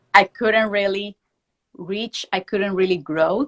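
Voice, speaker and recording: A woman with a Venezuelan accent speaks with fairly even intonation in a dry, close recording with no echo. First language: Spanish. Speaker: prosthodontics professor. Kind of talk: interview. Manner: fast.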